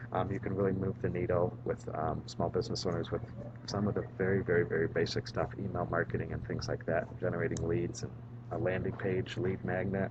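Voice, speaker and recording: Soft-spoken, a man with a very deep, low pitch talks at a fairly quick pace with lively intonation, over noticeable background noise. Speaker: vlogger and marketing strategist. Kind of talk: casual vlog monologue. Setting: public library. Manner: soft-spoken, voice kept down; filler-heavy, repetitive.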